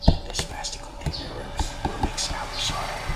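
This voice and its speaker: A man whispers over noticeable background noise, with audible echo from the room. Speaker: plant vlogger. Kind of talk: ASMR tutorial. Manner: whispering; soft-spoken.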